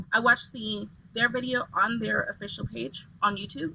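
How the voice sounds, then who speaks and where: A woman's fairly high voice at a fairly quick pace, with lively intonation, over noticeable background noise. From England. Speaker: lifestyle vlogger. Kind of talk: tutorial. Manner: casual, halting with fillers.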